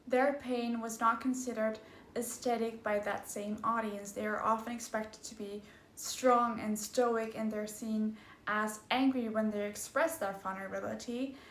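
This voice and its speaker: Monotone, flat intonation comes through audible room echo and noticeable background noise. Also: woman, fairly high pitch for a woman, moderate pace. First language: not English. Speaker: video essayist. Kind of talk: video essay narration.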